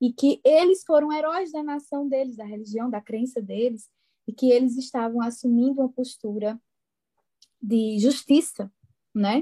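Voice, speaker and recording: Speaking in a Pernambuco accent at a fairly slow pace, a woman with a high pitch and a dark, mellow tone shows ordinary pitch variation and big swings in loudness, in a dry, close sound with no echo. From Brazil, interior of Pernambuco. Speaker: psychologist. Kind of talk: casual podcast interview.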